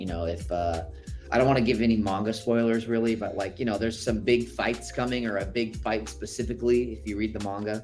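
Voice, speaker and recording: Over music in the background, a man talks at a very fast pace and fairly low pitch with ordinary pitch variation. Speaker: voice actor. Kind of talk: interview answer. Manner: casual, conversational.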